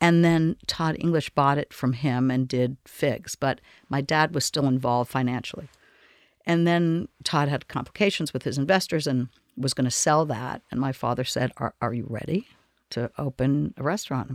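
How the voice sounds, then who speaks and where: The speaker, with an American accent, talks at a moderate pace with ordinary pitch variation in a very clean, dry, close recording with a silent background and no echo. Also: woman, very deep, low pitch for a woman. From Boston, Massachusetts. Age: 60s. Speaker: restaurateur. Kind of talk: casual interview.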